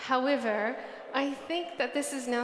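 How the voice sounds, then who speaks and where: A woman with a New Zealand accent, ordinary pitch variation, audible room echo. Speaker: UX research director. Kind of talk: conference talk. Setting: stage with audience.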